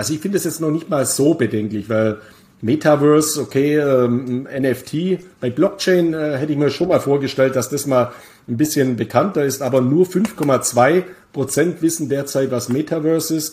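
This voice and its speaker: This man's voice is fairly high in pitch, dark and mellow in tone, and somewhat breathy. He keeps a moderate pace with ordinary pitch variation. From Bavaria, Germany. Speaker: crypto investment expert and author. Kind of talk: casual interview about crypto markets. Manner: frequent hesitations (äh).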